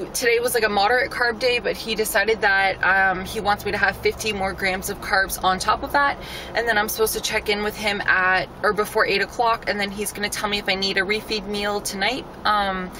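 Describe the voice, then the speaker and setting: A woman's monotone, flat delivery at a fairly quick pace, dry with no echo, over noticeable background noise. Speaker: fitness competitor vlogger. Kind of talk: casual vlog chat. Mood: annoyed but chatty. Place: car. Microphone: phone near.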